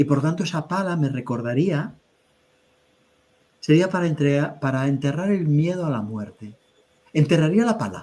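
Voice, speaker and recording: A man with a dark, mellow tone speaks at a moderate pace, his lively intonation broken by long, frequent pauses. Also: fairly high pitch for a man. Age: 60s. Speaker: spiritual teacher. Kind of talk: webinar conversation. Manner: halting.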